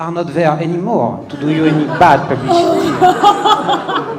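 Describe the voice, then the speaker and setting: In a French accent, a man talks at a very slow pace and high pitch, with audible room echo and noticeable background noise. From France. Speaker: comedian. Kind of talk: stand-up. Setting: stage with audience. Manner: hesitant, many fillers.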